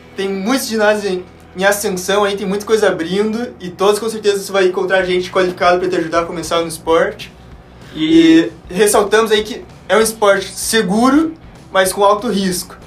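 A man with a high pitch speaks at a fairly quick pace with ordinary pitch variation over noticeable background noise. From Curitiba, Paraná, southern Brazil. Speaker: sport climber, former scout. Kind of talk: casual podcast chat.

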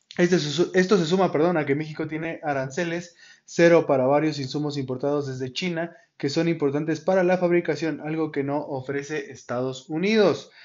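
A man with a central Mexican accent at a fairly quick pace, intonation fairly even. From Mexico, Tulancingo, Hidalgo. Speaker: podcast host. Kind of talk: solo news commentary podcast. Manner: hesitant, many fillers and restarts.

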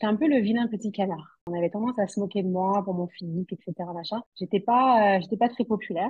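A woman's unremarkable speaking voice at a fairly quick pace, with ordinary pitch variation. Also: medium pitch for a woman. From southwest France, Toulouse. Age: 30s. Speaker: fashion model and mother. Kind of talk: interview.

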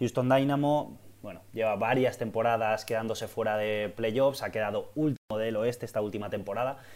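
A man in a plain, everyday voice, fairly quick pace with ordinary pitch variation, very clean recording, silent background. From Valencia, Spain. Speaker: football podcast co-host. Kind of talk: casual chat.

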